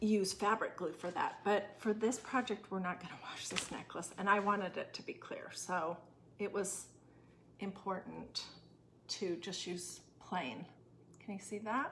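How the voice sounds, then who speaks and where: The voice is soft-spoken, moving at a fairly slow pace with fairly even intonation. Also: woman, medium pitch for a woman. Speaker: craft tutorial host. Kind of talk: tutorial. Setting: temporary room away from home, neighbors nearby.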